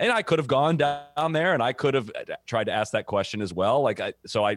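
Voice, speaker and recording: In an unremarkable speaking voice, a man talks at a fairly quick pace with lively intonation on a very clean recording with a silent background. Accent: American. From US Midwest (Ohio). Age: 30s. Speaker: golf media founder. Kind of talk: interview.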